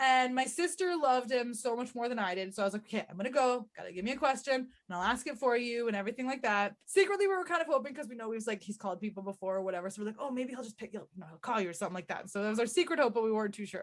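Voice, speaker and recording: Very fast and with hardly any pauses, a woman with a Canadian accent talks at a fairly high pitch with lively intonation and big swings in loudness. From Canada. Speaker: podcast co-host. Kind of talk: casual chat.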